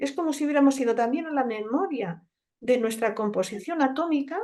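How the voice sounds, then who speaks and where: At a moderate pace, a woman speaks with a high pitch and a dark, mellow tone. Her pitch swings very widely. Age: 60s. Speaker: naturopath. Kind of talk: conference talk in conversation. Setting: conference.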